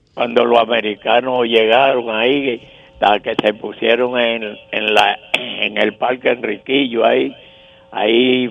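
Over noticeable background noise, a man at medium pitch speaks very slowly with fairly even intonation. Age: 80s+. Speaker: caller. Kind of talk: call-in testimony.

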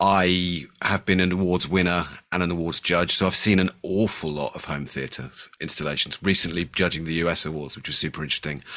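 In a West Country accent, a man with a very deep, low pitch and a bright, sharp tone speaks at a fairly quick pace with fairly even intonation. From Bristol, England. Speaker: home theater designer. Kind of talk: casual chat.

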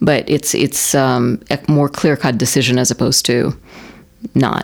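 A woman's very deep, low voice. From Russia, Moscow. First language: Russian. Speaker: banker. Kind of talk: interview.

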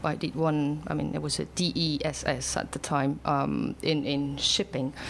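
A woman with a French accent, fairly slow and monotone, her intonation flat. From France, Alps near Geneva. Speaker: English teacher. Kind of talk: casual interview. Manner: hesitant, many fillers.

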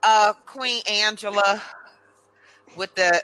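The sound is dry and close with no echo as a woman talks at a medium pitch with ordinary variation over noticeable background noise. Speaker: podcast host. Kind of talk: casual interview. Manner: animated, chatty.

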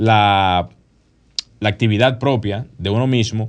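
Against a quiet background, a man uses an ordinary speaking voice at a medium pitch with ordinary pitch variation. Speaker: architect and radio co-host. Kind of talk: casual radio talk show. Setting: radio studio.

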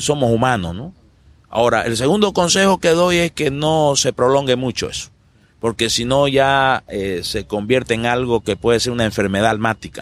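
With a normal speaking voice, a man at medium pitch talks at a moderate pace and with lively intonation. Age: 50s. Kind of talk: interview.

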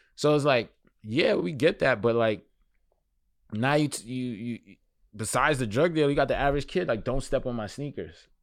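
A man with a New York accent talks fairly quickly at a medium pitch on a very clean recording with a silent background. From Brooklyn, New York City. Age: 30s. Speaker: fashion journalist and magazine editor. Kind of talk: casual interview.

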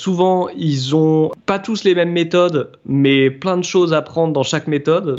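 A man talks at a very slow pace with a fairly high pitch. His pitch varies in an ordinary way. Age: 30s. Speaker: apprentice boat preparer. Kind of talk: interview. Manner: hesitant, with fillers.

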